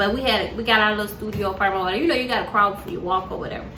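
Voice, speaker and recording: A woman talks in an animated tone over noticeable background noise, with audible room echo. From US South, Montgomery, Alabama. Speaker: vlogger. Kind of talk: casual storytelling. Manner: casual, animated.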